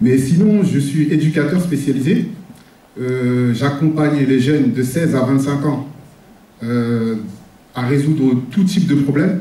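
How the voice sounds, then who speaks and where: A man's fairly high voice at a fairly slow pace, with long, frequent pauses, ordinary pitch variation, very even loudness and audible room echo. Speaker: social worker. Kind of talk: public speech. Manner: halting.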